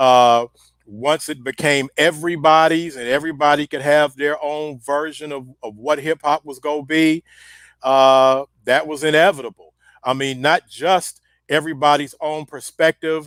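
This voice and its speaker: In a dry, close recording with no echo and a silent background, a man with an American accent speaks at a moderate pace. His pitch is fairly high and his intonation fairly even, and the recording is very clean. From US, outside the East Coast. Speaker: rap pioneer and activist. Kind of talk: casual interview chat. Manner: halting, many repeated words.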